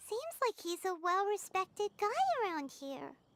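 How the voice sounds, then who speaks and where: A squeaky, put-on character voice delivers the words at an extremely high pitch and a moderate pace. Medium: video game. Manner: casual, upbeat.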